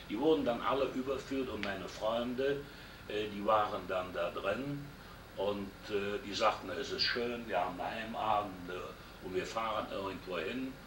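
Male speech caught with audible echo from the room and noticeable noise behind it. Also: medium pitch for a man, ordinary pitch variation, fairly slow pace. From Germany, Rhineland (Düren). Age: 60s. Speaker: WWII veteran, former prisoner of war. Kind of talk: oral history interview.

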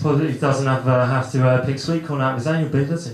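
A man talks at a fairly quick pace, with audible room echo and noticeable background noise in the recording. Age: 20s. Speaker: stand-up comedian. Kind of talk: stand-up. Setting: stage with audience.

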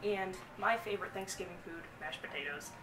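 Amid noticeable background noise, a woman talks at a moderate pace with ordinary pitch variation. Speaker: vlogger host. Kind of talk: casual vlog chat. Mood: playful, joking. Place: home room. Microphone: camera far.

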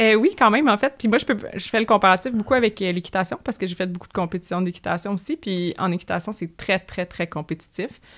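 A woman's medium-pitched voice at a very fast pace with hardly any pauses and ordinary pitch variation, in a very clean recording with a silent background. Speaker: animal health technician. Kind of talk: interview.

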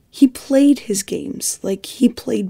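A woman's dark, mellow voice carries vocal fry and ordinary pitch variation. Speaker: fan theory video narrator. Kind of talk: scripted video essay narration. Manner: halting, with pauses.

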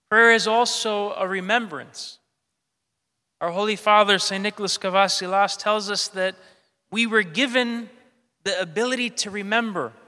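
A man's raised, projected voice, bright and sharp, at a moderate pace with fairly even intonation, long, frequent pauses and a quiet background. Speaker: priest. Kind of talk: sermon. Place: church. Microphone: podium.

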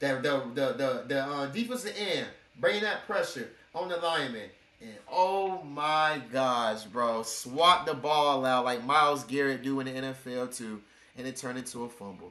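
Audible room echo surrounds a man speaking at a moderate pace in an animated tone. His loudness swings in big ways. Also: medium pitch for a man, ordinary pitch variation. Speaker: reaction video creator. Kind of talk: casual reaction commentary. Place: home room. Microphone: webcam.

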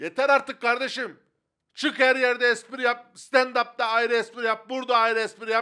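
A man projects his voice at an extremely high pitch with a bright, sharp tone and a moderate pace against a quiet background. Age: 30s. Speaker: comedian; comedian podcast co-host. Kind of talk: casual chat. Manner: animated. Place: studio. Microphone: handheld.

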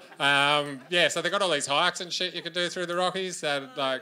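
Speaking at a very fast pace, a man with an Australian accent has a bright, sharp tone. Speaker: stand-up comedian. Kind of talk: stand-up comedy set. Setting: live comedy stage. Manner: casual, conversational. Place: stage. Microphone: handheld.

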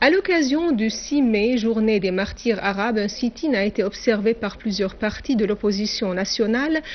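With an ordinary speaking voice, a woman talks at a moderate pace in a fairly high pitch and with ordinary pitch variation. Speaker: TV news anchor. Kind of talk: formal state-TV news bulletin reading. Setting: TV studio. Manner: formal, measured and declamatory, reading long official sentences.

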